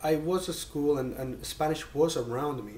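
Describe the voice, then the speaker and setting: This man speaks with a Catalan accent. His pitch is medium, with ordinary variation. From Spain, Mallorca. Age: 20s. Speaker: PhD student. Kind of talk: interview. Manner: halting, many fillers.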